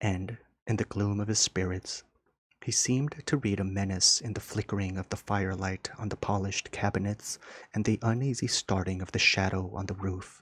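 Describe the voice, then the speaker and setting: A soft-spoken man talks at a moderate pace in a fairly low, somewhat breathy voice with fairly even intonation. The sound is dry and close with no echo, in a very clean recording with a silent background. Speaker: ASMR audiobook reader. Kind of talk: soft relaxing audiobook reading, sleep-style. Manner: soft-spoken, relaxed.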